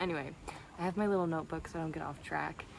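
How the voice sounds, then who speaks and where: Very fast speech comes from a woman. The room echo is audible, and there is noticeable background noise. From Canada, Toronto. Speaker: video blogger. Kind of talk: casual vlog monologue. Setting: outdoors by the sea.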